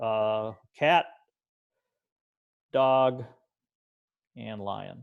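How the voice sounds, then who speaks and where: A man's very slow, fairly evenly intoned speech against a quiet background. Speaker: computer science teacher trainer. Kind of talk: tutorial.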